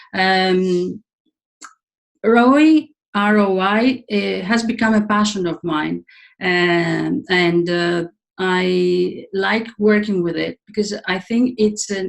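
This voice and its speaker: A woman's medium-pitched voice with a Greek accent, very slow, with ordinary pitch variation. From Greece. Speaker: leadership coach and trainer. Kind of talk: webinar presentation. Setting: online webinar. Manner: halting, many fillers.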